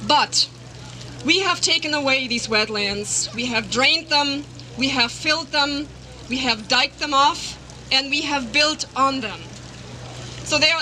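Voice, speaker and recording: A raised, projected voice with a German accent moves at a fairly slow pace with ordinary pitch variation. Noticeable background noise sits behind it. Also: woman. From Germany. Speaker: biologist and animal rights campaigner. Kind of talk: rally speech. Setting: outdoor rally in a park.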